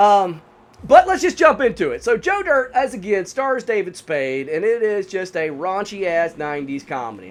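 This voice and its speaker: At a moderate pace, a man with a Southern US accent speaks at a high pitch, with very wide pitch swings and big swings in loudness. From US South, North Carolina. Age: 40s. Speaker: gaming YouTuber and movie reviewer. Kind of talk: casual gameplay commentary and movie review. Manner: casual, filler-heavy.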